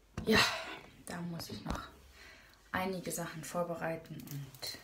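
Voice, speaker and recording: Noticeable background noise sits behind a voice with ordinary pitch variation. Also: woman. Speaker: vlogger. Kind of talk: casual vlog chat. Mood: cheerful, relaxed. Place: home room. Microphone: phone near.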